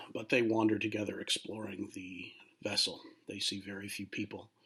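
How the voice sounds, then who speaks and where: A man's raspy, put-on character voice, fairly low in pitch, in a monotone, flat intonation at a moderate pace, with big swings in loudness. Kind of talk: casual spooky storytelling. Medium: read story. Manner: hesitant, filler words, throat clearing.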